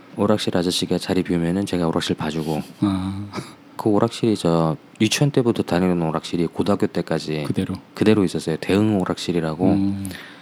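Over noticeable background noise, a man with a very deep, low pitch talks at a fairly quick pace, his pitch varying in an ordinary way. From Seoul. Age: 30s. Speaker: interview guest. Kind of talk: casual interview.

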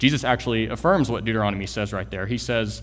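Vocal fry runs through this voice in an American accent. The pace is fairly quick, with audible room echo. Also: man. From Texas, Houston area. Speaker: church planter, guest preacher. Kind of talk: sermon. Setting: church.

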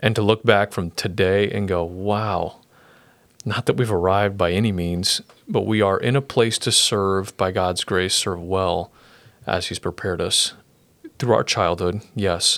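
A man with an American accent and an unremarkable speaking voice talks at a fairly low pitch and fairly slow pace. His intonation is fairly even, on a very clean recording with a silent background. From Brazil (Sorocaba), US missionary family. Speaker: pastor. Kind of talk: interview testimony. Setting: podcast studio, sharing one mic.

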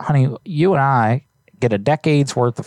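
Recorded with a dry, close sound with no echo, a man speaks at a moderate pace. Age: young. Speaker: prank call show host. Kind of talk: casual chat with live prank calls. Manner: animated.

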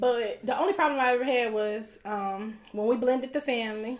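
An unremarkable speaking voice at a moderate pace. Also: woman. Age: 30s. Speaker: business owner. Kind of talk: casual chat.

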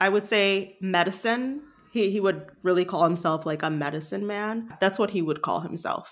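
A very clean recording with a silent background, an unremarkable speaking voice from a woman at medium pitch, moderate pace and ordinary pitch variation. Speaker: leadership coach and artist. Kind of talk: casual chat.

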